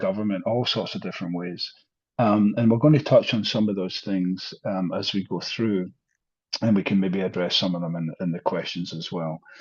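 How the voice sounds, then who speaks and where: A man speaks with a Scottish accent and ordinary pitch variation. The background is quiet. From Scotland, Glasgow. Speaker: professor. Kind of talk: lecture. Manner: hesitant, many fillers.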